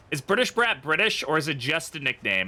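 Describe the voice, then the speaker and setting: A man speaks with an English accent and very wide pitch swings. Music plays in the background. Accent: Americanized English. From United States. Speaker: streamer. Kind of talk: live gameplay commentary.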